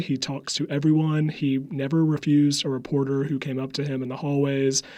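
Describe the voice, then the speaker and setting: A man with a slight Southern accent, fairly high pitch, fairly even intonation and a fairly quick pace. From US South, upstate South Carolina. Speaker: public relations staffer, former Senate press secretary. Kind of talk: interview.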